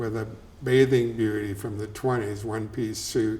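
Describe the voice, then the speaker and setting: A man with an American accent, amid noticeable background noise. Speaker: welding business co-owner and local storyteller. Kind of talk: oral history interview. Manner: conversational, storytelling, colloquial.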